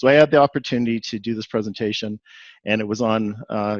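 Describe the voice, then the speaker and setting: With a Canadian accent, a man talks at a very fast pace using fairly even intonation. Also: dry, close sound with no echo. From Canada, Edmonton, Alberta. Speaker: executive coach and video producer. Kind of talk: webinar presentation.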